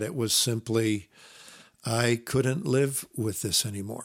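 In an American accent, a man speaks at a fairly slow pace and medium pitch. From US Midwest. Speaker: former worship pastor, ministry staff member. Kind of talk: personal testimony. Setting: call.

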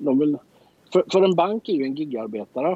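His pitch swings very widely. The man moves along at a fairly quick pace. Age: 50s. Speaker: entrepreneur. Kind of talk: interview.

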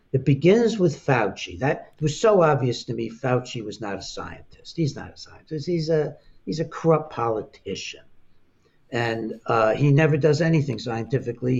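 Somewhat breathy male speech, fairly high in pitch, lively in intonation, at a moderate pace. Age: 80s+. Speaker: psychiatrist and author. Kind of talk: interview.

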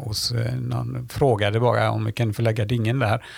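A man talks against noticeable background noise. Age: 60s. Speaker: sailor and teacher. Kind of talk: casual interview.

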